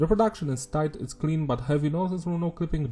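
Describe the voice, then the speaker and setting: A man's somewhat breathy voice, dark and mellow in tone, with a non-native accent. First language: not English. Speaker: music reviewer. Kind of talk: album review monologue. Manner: casual.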